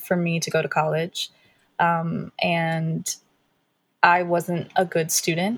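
Very slowly and in a somewhat breathy voice, a woman with an American accent speaks at a fairly low pitch on a very clean recording with a silent background. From Pittsburgh area, Pennsylvania. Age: 20s. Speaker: R&B singer. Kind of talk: interview.

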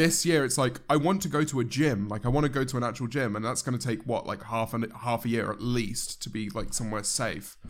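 With a British accent, a man talks at a fairly quick pace in a medium pitch, with ordinary pitch variation and hardly any pauses. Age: 20s. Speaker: YouTuber. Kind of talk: casual chat.

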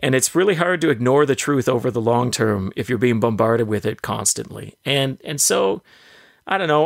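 A man talks at a fairly quick pace in a plain, everyday voice. His intonation is lively and the sound is dry and close with no echo. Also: very clean recording, silent background. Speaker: political commentator, podcast co-host. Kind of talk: casual banter, political analysis.

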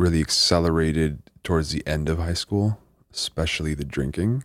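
This man's voice has a very deep, low pitch. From same hometown as the host. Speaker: mental health coach and interventionist. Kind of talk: casual chat.

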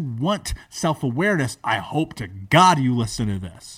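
An animated, somewhat breathy man with an American accent, very wide pitch swings and a moderate pace, in a very clean recording with a silent background. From US, major city. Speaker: entrepreneur and motivational speaker. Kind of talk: interview, personal life story.

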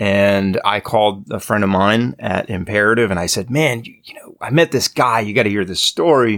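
An unremarkable speaking voice with an American accent, a moderate pace, hardly any pauses, ordinary pitch variation and big swings in loudness. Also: man, fairly low pitch for a man. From Maryland, Hagerstown. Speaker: musician and podcaster. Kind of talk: casual chat.

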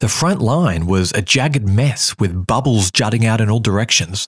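Speaking at a moderate pace with lively intonation, a man with a fairly low pitch sounds somewhat breathy on a very clean recording with a silent background. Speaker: podcast host. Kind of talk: history documentary narration. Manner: measured, dramatic storyteller pacing; clear, authoritative, steady.

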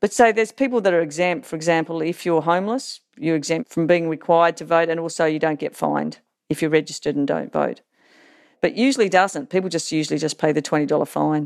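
Speaking in an Australian accent, a woman talks at a very fast pace with ordinary pitch variation. Her pitch is fairly low, and the recording is very clean with a silent background. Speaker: political science professor. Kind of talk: interview.

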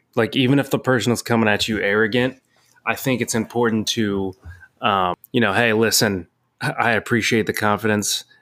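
Fairly quick speech in an American accent comes in a plain, everyday voice with fairly even intonation and very even loudness. The recording is very clean, with a silent background. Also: man, medium pitch for a man. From Cincinnati, Ohio. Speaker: co-host boyfriend. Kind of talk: casual chat.

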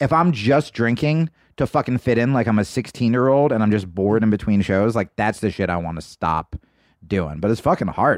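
A man speaks with an unremarkable speaking voice at a medium pitch, his intonation lively. The sound is dry and close with no echo, over a quiet background. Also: fairly quick pace. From New Jersey suburbs. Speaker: comedian. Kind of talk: casual chat. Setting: studio.

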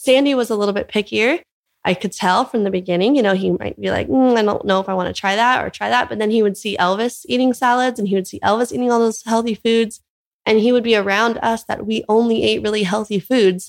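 Speaking at a very fast pace with an American accent, a woman with a fairly high pitch uses ordinary pitch variation. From US West Coast, Orange County, California. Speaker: plant-based mother and blogger. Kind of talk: interview conversation. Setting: in person on Maui.

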